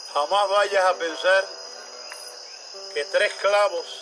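A man's high-pitched voice at a very slow pace, with noticeable background noise. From Puerto Rico. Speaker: poetry reciter. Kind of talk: heartfelt toast to friends at a gathering. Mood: warm, devout, heartfelt. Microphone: camera far.

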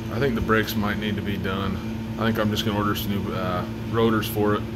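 Fairly quick speech over loud background noise. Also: man. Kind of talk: casual vlog chat. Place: garage. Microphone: phone near.

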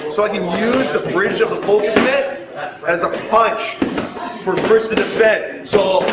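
The speech moves at a moderate pace with ordinary pitch variation. Loud noise fills the background. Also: man. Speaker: boxing coach. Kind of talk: tutorial. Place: gym.

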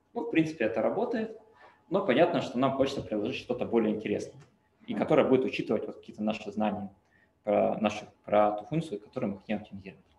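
A man talks at a very fast pace with very wide pitch swings and big swings in loudness, broken by long, frequent pauses. Room echo can be heard. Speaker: machine learning researcher. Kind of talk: lecture. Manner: halting. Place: home room. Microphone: webcam.

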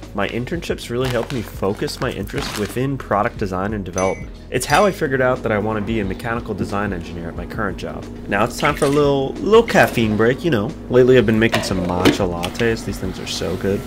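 Over background music, a man with a fairly low voice talks very fast in an upbeat tone, hardly pausing at all. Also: ordinary pitch variation. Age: 20s. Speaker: mechanical engineer. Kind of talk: casual vlog narration. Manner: upbeat, casual. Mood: cheerful, smiling. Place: home room. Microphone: studio mic.

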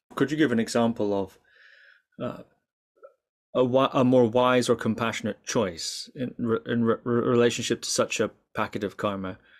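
A man with a northern Scottish accent at medium pitch, fairly even intonation, long, frequent pauses and a quiet background. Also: moderate pace. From far north of Scotland. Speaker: podcast interviewer. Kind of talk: interview. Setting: remote call. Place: home room. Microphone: webcam.

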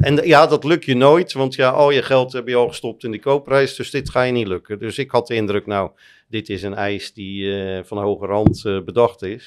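This man speaks at a medium pitch and a moderate pace. He has a strong Rotterdam accent and ordinary pitch variation. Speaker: private equity investor and columnist; podcast guest. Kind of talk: interview. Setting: studio lounge. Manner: halting, many repetitions and fillers. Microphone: studio mic.

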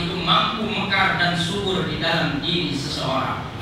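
Amid strong room echo and noticeable background noise, a man speaks at a fairly slow pace. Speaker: preacher. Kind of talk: sermon. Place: church.

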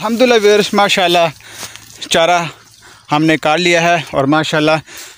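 The man talks at a moderate pace in a fairly high, fairly bright voice. His pitch varies in an ordinary way.

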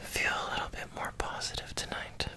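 Over light background noise, a soft-spoken man whispers. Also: moderate pace. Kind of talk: soft bedtime roleplay talk. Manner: soft whispered bedtime voice. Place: home room. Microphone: phone near.

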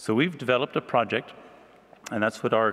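A man talks in a plain, everyday voice at a fairly low pitch. His pace is fairly quick. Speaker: speaker. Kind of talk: conference presentation. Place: hall. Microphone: podium.

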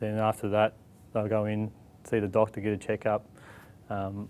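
A man's fairly low, flat, monotone voice at a fairly quick pace. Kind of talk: interview answer. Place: office. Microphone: lapel.

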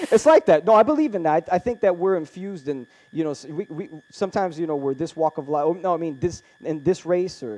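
Very fast, high male speech with a dark, mellow tone and ordinary pitch variation. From Brazil. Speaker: podcast host on UFOs. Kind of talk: casual interview. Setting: studio. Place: studio. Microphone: headset.

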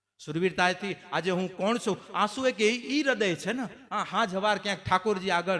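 A man speaks with lively intonation. His tone is animated. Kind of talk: sermon.

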